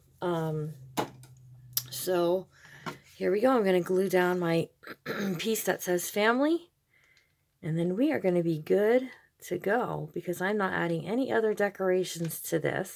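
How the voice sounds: A woman's fairly low voice with vocal fry, a slightly mellow tone, ordinary pitch variation, a fairly slow pace and long, frequent pauses.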